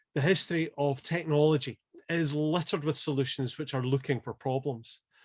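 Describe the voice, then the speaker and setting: Talking at a fairly quick pace, a man uses ordinary pitch variation. His pitch is fairly high. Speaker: keynote speaker. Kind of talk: scripted presentation. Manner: fast.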